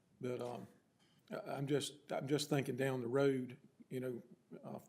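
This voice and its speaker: In an American accent with vocal fry, a man talks at a moderate pace amid audible room echo. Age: 60s. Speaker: town council member. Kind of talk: council meeting discussion. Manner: halting.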